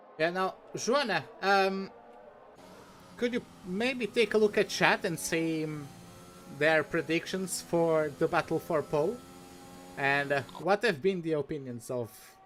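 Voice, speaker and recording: With a Portuguese accent, a man talks in very wide pitch swings, broken by long, frequent pauses. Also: fairly slow pace. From Portugal. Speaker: esports commentator. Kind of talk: live commentary.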